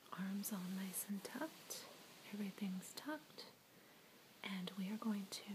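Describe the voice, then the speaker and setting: A woman whispering. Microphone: phone near.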